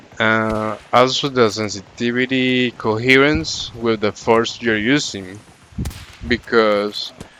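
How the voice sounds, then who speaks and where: Against noticeable background noise, a man of medium pitch speaks very slowly with fairly even intonation. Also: long, frequent pauses. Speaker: gaming channel creator. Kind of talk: casual gameplay tips commentary.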